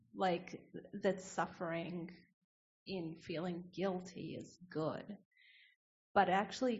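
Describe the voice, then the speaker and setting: At a fairly slow pace, a somewhat breathy woman speaks with fairly even intonation. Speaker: meditation group member. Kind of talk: sharing in group discussion.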